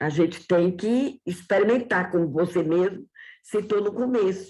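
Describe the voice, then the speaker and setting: The woman talks very slowly, her voice sitting at a medium pitch. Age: 70s. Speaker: church member sharing testimony. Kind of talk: testimony.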